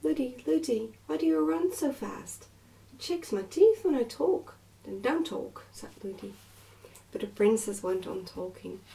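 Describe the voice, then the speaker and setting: Soft-spoken, a woman with an English accent talks at a fairly slow pace over noticeable background noise. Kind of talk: bedtime story reading.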